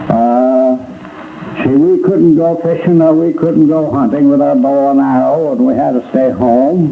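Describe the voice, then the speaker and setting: Over noticeable background noise, a man speaks at a fairly slow pace. His pitch is fairly high and his intonation lively. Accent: American. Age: 80s+. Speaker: fire survivor, retired furniture dealer and former mayor. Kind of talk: oral history interview recollection. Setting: archival recording from 1945. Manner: hesitant, halting speech with fillers.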